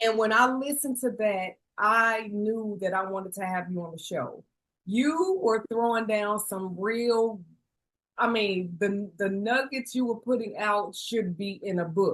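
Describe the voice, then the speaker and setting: Speaking with an American accent, a woman uses a fairly high pitch, ordinary pitch variation and a fairly slow pace. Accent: country twang. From Chicago. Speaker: podcast host. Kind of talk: podcast interview.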